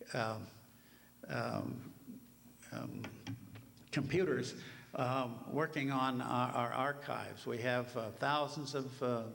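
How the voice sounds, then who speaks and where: A man at medium pitch speaks at a very slow pace with long, frequent pauses. The room echo is audible. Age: 80s+. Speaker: helicopter museum representative. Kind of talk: conference talk. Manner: halting, many fillers.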